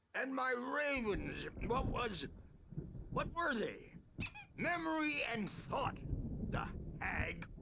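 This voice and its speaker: A put-on character voice from a man, extremely high-pitched, very slow with long, frequent pauses, lively intonation and very even loudness, over clear background noise. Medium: video game. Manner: rambling, weary.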